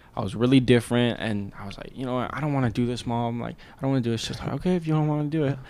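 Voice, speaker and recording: Very fast and with hardly any pauses, a man talks at a medium pitch with ordinary pitch variation over noticeable background noise. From Georgia, US South. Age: young. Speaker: rapper and student. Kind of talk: casual chat.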